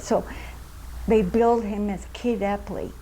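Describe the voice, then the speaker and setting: Over noticeable background noise, a woman at a medium pitch talks at a fairly slow pace. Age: 80s+. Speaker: oral history interviewee. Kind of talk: oral history interview. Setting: recreation center.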